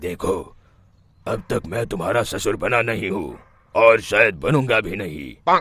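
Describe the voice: A man does a cartoonish character voice, fairly low in pitch, bright and sharp with a slightly husky edge. He speaks at a fairly slow pace with lively intonation.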